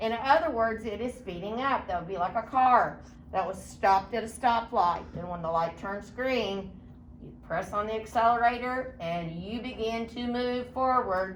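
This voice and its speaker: Audible room echo surrounds a woman's fairly high voice. She talks at a moderate pace with ordinary pitch variation. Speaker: science teacher. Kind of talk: lecture.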